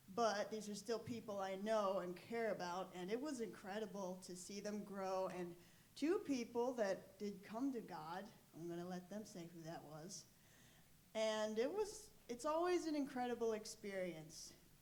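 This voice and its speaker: A woman with a medium-pitched voice talks at a moderate pace with ordinary pitch variation, and the room echo is audible. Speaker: youth group leader. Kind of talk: testimony. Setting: stage in church. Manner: loud.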